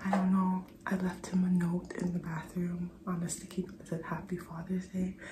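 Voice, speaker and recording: A woman's medium-pitched voice at a moderate pace, with monotone, flat intonation and audible room echo. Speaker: mom vlogger. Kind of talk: personal video diary.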